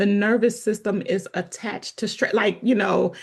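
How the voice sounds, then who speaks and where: At a moderate pace, a woman speaks in a somewhat breathy, fairly high-pitched voice. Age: 40s. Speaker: podcast host. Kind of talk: casual chat.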